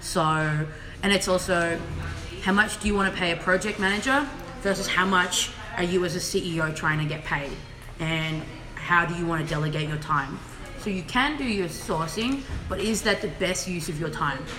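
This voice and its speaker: A woman with an Australian accent, fairly low pitch, ordinary pitch variation and a moderate pace, with noticeable background noise and audible room echo. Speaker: fashion production consultant. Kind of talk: live Q&A chat. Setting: Instagram live stream from office.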